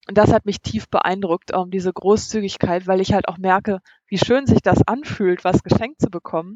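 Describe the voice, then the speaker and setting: Speaking at a moderate pace, a woman has an unremarkable speaking voice with a medium pitch and fairly even intonation. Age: 40s. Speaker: van-life traveler and blogger. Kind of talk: interview.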